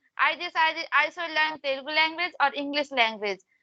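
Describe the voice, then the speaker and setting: A woman's raised, projected voice at an extremely high pitch, bright and sharp in tone, with fairly even intonation, a moderate pace and a dry, close sound with no echo. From India, Madhya Pradesh. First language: Hindi. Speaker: English learner. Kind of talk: casual chat. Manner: halting.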